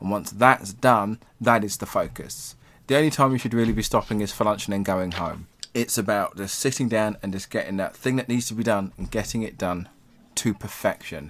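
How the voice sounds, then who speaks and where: On a very clean recording with a silent background, a man with an English accent speaks at a moderate pace in a fairly low pitch with ordinary variation. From England. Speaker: tarot reader and Satanist. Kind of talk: casual chat.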